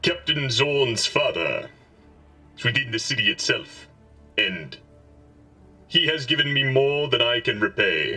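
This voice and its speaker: A man does a put-on character voice at a moderate pace, with long, frequent pauses. Faint music plays in the background. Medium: actual play. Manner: formal, measured, diplomatic.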